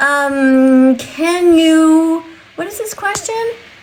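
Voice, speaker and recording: The voice has an animated tone and lively intonation. Noticeable background noise is present. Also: woman. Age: 60s. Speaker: vegan activist livestreamer. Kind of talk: livestream chat with viewers. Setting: TikTok live stream.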